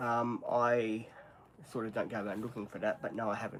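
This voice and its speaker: Speaking in a medium pitch, a man talks with an Australian accent. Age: 50s. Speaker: live streamer. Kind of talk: casual chat. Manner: halting.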